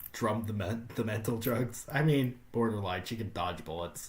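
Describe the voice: The voice is a plain reading aloud. Its intonation stays fairly even.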